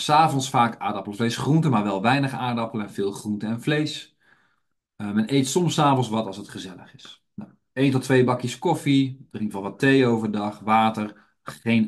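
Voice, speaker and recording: A man speaks in an ordinary speaking voice at medium pitch and a moderate pace, with ordinary pitch variation. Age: 30s. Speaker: health educator and trainer. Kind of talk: webinar lecture. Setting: online webinar.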